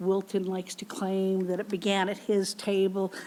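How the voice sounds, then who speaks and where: At a moderate pace, a woman talks at medium pitch with a western Canadian accent. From Canadian prairies. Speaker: professor. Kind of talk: lecture Q&A answer.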